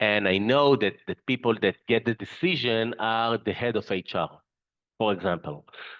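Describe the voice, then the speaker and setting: A man with a non-native accent speaks at a fairly low pitch with ordinary pitch variation. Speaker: company CEO, webinar presenter. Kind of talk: webinar presentation. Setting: online webinar. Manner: halting, with fillers and repetitions.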